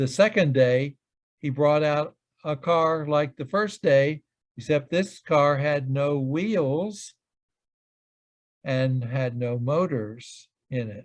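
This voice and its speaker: Speaking at a very slow pace with long, frequent pauses, a man uses a fairly high voice against a quiet background. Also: ordinary pitch variation. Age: 80s+. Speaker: physicist. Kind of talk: casual chat. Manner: halting. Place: home room. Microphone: video call.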